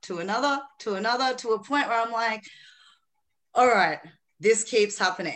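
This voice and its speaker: A woman with an Australian accent speaks in a fairly high voice, with ordinary variation in pitch. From Philippines. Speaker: author and mindset coach. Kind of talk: casual interview chat.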